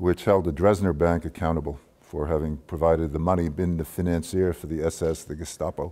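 A man's very deep, low voice, fairly quick and nearly pause-free, in a monotone, flat delivery. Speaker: lecturer recounting career. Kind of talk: lecture. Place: hall. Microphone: lapel.

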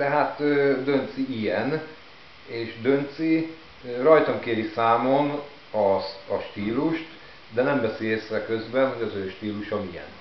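A man with a medium-pitched voice talks at a very slow pace, with long, frequent pauses and ordinary pitch variation, against light background noise and audible room echo. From Hungary. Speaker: vlogger. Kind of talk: casual vlog monologue. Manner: hesitant, with filler words. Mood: mildly irritated, ironic. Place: home room. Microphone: camera far.

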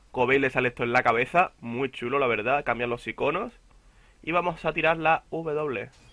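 At a moderate pace, a man with a Castilian accent speaks with a fairly high pitch and ordinary pitch variation. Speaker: gaming youtuber. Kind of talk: gameplay commentary. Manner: casual, halting.

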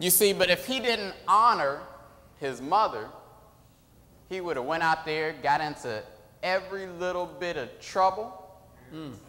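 In an animated tone with lively intonation, a man speaks at a moderate pace, leaving long, frequent pauses. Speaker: preacher. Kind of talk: sermon. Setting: church. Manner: animated call-and-response preaching, urging the congregation to answer. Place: church. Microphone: podium.

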